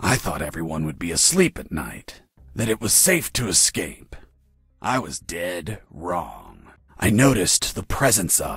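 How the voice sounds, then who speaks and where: With lively intonation, a man puts on a cartoonish character voice at a fairly low pitch. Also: fairly slow pace. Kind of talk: hard-boiled voice-over parody. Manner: deadpan, gruff.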